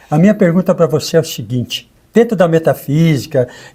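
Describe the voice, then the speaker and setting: A man speaks at a moderate pace with a dark, mellow tone. His pitch is fairly high. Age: 70s. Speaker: co-host and therapist. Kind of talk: conversational interview.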